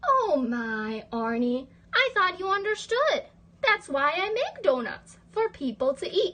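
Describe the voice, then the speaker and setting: This woman speaks in a put-on character voice at an extremely high pitch, with very wide pitch swings and a fairly slow pace. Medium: read story.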